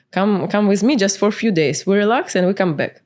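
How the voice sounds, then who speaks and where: This is a woman with a Ukrainian accent. Her pitch is medium. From Ukraine, Kyiv. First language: Ukrainian or Russian. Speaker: entrepreneur and spiritual coach. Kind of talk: podcast interview. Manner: hesitant, many fillers.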